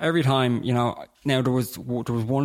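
A man with a Dublin accent and fairly even intonation, on a very clean recording with a silent background. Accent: Dublin Irish. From Dublin, Ireland (Terenure). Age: 20s. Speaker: person in alcohol recovery. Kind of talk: testimony in interview.

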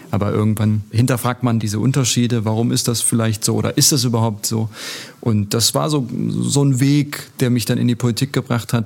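At a fairly quick pace, a man speaks at medium pitch with fairly even intonation and very even loudness. Noticeable background noise runs under the voice. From Germany, Turkish guest-worker family. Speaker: politician. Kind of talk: interview.

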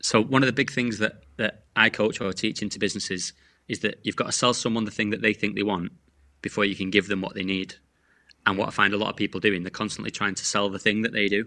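Against a quiet background, a man with a fairly low pitch and a bright, sharp tone talks at a very fast pace. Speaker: sales coach. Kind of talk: podcast interview. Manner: animated.

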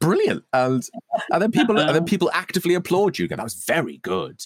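The speech comes at a very fast pace with very wide pitch swings. Vocal fry runs through it. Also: man. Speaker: podcast co-host. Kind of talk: casual comedic chat. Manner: jokey, animated.

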